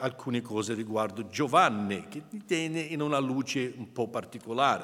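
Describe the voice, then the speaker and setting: With an English accent, a man speaks at a fairly slow pace. His medium pitch moves in very wide swings. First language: English (speaking Italian). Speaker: preacher. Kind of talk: sermon. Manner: halting.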